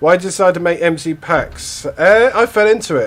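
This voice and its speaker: Against noticeable background noise, a man with an English accent and a high pitch talks at a moderate pace with ordinary pitch variation. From England. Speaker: streamer. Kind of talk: casual chat. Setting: live stream. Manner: halting.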